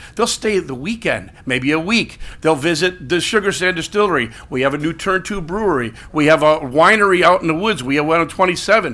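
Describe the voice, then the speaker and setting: A man speaks with a bright, sharp tone and a high pitch, his intonation lively. The pace is fairly quick, with hardly any pauses. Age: 60s. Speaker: business owner speaking at public comment. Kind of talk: public comment at council meeting. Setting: city council meeting. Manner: fast, hurried.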